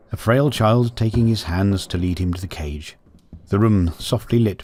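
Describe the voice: Ordinary pitch variation in plain reading aloud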